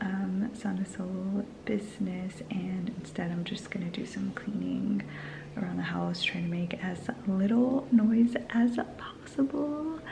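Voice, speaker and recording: Against noticeable background noise, a woman with a medium pitch and ordinary pitch variation speaks at a very slow pace. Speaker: vlogger and small business owner. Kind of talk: vlog. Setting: at home. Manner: soft-spoken.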